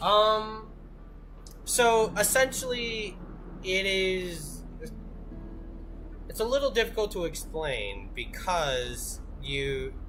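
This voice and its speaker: Very slow speech broken by long, frequent pauses, with music in the background. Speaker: gaming streamer. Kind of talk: live gameplay commentary.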